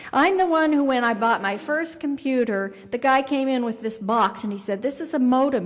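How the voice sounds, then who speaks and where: With lively intonation, a woman speaks at a moderate pace. There is audible room echo. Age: 60s. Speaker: keynote speaker. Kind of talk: keynote speech. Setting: conference luncheon with audience.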